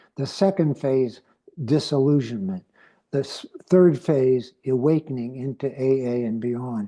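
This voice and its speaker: With an American accent, a man speaks in a dark, mellow tone and ordinary pitch variation. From US West Coast, San Francisco. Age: 80s+. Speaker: recovering alcoholic speaker. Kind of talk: testimony.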